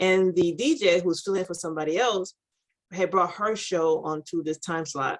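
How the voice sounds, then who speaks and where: Her fairly low-pitched voice shows ordinary pitch variation as this woman speaks. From Florida. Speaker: media and branding entrepreneur. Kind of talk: podcast interview. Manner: fast.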